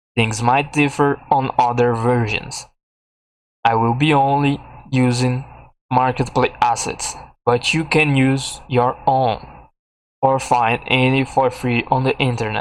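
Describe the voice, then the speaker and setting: A man with a non-native accent at a medium pitch, fairly slow and monotone, with flat intonation, very even loudness, long, frequent pauses, and a very clean recording with a silent background. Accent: heavy non-native. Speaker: game development tutorial maker. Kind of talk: tutorial. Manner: halting.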